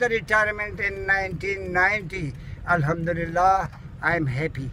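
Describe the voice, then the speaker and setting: A man's high-pitched voice in a Pakistani accent, with noticeable background noise. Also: ordinary pitch variation, moderate pace. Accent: Pakistani (Pashto) English. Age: 80s+. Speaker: retired air force serviceman. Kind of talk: interview answer. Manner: jolly.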